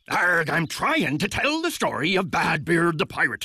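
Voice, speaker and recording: Doing a put-on character voice, a man speaks high in pitch at a moderate pace. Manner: growly, playful storytelling.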